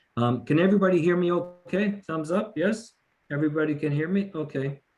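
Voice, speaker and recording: Fairly high for a man, his voice is somewhat breathy. The pitch varies in an ordinary way. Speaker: police officer. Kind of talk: community lecture.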